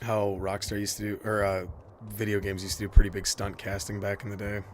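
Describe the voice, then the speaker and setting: Speaking very fast, a man with a fairly low pitch sounds somewhat breathy. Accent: Michigan. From Michigan, near Detroit (US Midwest). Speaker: video game streamer. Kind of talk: casual live-stream gameplay commentary. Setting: live stream. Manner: animated.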